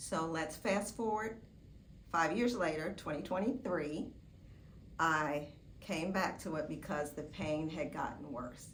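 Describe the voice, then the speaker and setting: In a room with audible echo, a woman with a fairly low pitch speaks fairly slowly with lively intonation and long, frequent pauses. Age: 60s. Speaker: surgery patient. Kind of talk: testimony. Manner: casual, with filler words.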